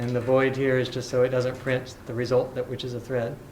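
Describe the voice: A man speaks at a fairly quick pace in a monotone, flat intonation. Audible room echo surrounds his voice. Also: medium pitch for a man, slightly mellow tone.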